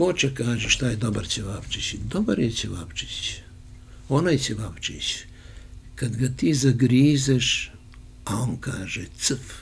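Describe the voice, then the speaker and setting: A man speaks at a fairly slow pace with vocal fry. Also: medium pitch for a man, ordinary pitch variation. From Serbia, Niš; Serbia. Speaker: journalist and former radio host; journalist, former radio host. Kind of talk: casual interview. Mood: warm, anecdotal storytelling. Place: home room. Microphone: handheld.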